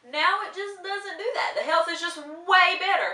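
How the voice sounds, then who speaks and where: Audible room echo follows a woman's raised, projected voice. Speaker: vlogger. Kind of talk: casual vlog monologue. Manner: fast.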